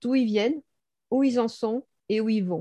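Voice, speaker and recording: A woman's voice has a dark, mellow tone. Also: dry, close sound with no echo. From Bordeaux, southwest France. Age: 60s. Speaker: blogger and copywriter. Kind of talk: interview.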